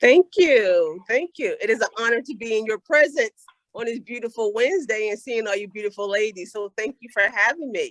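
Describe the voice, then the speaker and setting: In a normal speaking voice, a woman with a fairly high pitch talks at a moderate pace with lively intonation, big swings in loudness and hardly any pauses, in dry, close sound with no echo. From Philadelphia. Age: 50s. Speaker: motivational speaker. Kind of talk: motivational talk.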